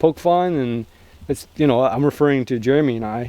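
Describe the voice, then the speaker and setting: With a dark, mellow tone and a fairly high pitch, a man talks at a moderate pace using ordinary pitch variation. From Canada. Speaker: outdoor survival vlogger. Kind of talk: casual vlog chat. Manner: joking, sarcastic.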